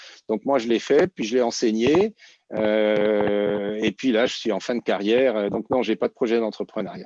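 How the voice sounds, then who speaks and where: A man speaks at a fairly slow pace in a fairly low pitch with ordinary variation. The sound is dry and close with no echo, over a quiet background. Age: 60s. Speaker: entrepreneur and former startup incubator director. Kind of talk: conference panel Q&A. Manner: hesitant, many fillers and repetitions.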